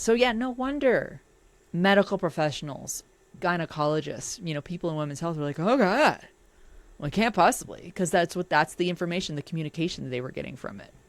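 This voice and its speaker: Delivered at a very fast pace, the animated voice makes very wide pitch swings and big swings in loudness. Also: woman, fairly low pitch for a woman. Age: 50s. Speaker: podcast host reacting to an article. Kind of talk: reaction commentary.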